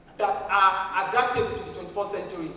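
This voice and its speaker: The voice carries fairly even intonation, with audible room echo and light background noise. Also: woman. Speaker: keynote speaker. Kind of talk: lecture. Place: hall.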